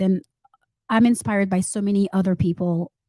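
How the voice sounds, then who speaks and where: Medium pitch and a dark, mellow tone from a woman at a moderate pace, with a dry, close sound with no echo. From Saint Martin, Haitian parents; moved to US at 14. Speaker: entrepreneur and author. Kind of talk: interview. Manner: halting, many fillers.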